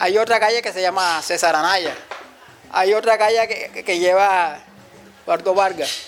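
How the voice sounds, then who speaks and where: Noticeable background noise sits behind a man with a high pitch. He speaks at a moderate pace with fairly even intonation. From Cartagena, Colombia. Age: 50s. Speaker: community leader. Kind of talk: interview testimony. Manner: halting.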